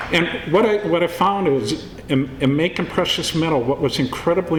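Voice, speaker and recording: The man speaks at a fairly slow pace while noticeable background noise carries on. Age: 60s. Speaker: film producer. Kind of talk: speech at award event.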